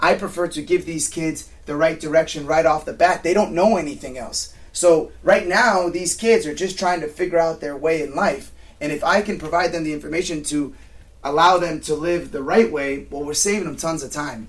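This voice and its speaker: A man with an American accent uses an ordinary speaking voice, fairly high in pitch for a man, with ordinary pitch variation at a moderate pace. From Southern California. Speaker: mental performance coach. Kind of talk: interview.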